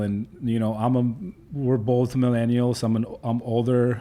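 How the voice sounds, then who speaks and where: Dark and mellow in tone, a man speaks at a medium pitch and a moderate pace. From Poland. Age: 30s. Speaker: trucking company owner. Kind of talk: podcast interview. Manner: halting.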